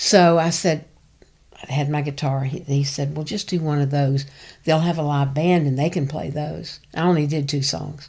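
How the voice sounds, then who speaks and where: In a Tennessee accent, a woman speaks at a moderate pace with a very deep, low pitch and a dark, mellow tone. Her intonation is fairly even, and the recording is very clean with a silent background. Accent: Southern US (Tennessee). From East Tennessee. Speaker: backup singer and voice teacher. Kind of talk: interview.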